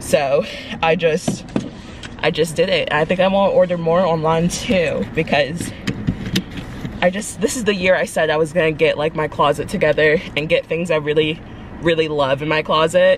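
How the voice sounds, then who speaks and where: A woman at a fairly low pitch, a moderate pace and fairly even intonation, with noticeable background noise. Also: dry sound with no echo. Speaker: vlogger. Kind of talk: casual vlog chat. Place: car. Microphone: phone near.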